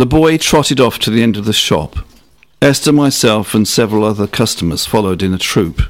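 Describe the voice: Someone reads aloud plainly, the intonation lively throughout.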